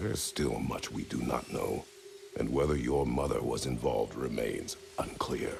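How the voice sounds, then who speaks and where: Moderately paced, a man's put-on character voice over clear background noise. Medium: short film. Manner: terse, formal, grave.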